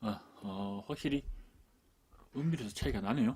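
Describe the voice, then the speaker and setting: A quiet male voice with a dark, mellow tone and ordinary pitch variation. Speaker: camera gear YouTuber. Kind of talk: product review. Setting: indoors at home desk. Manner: speaks quietly, low.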